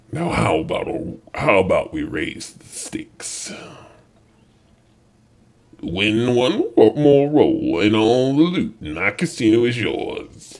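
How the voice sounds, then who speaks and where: A man's put-on character voice, fairly slow, with long, frequent pauses. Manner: tempting, sly.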